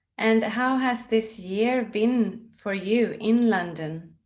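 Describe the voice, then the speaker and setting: A fairly high-pitched woman's voice with a Swedish accent. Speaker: interviewer for a book publisher. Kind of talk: interview.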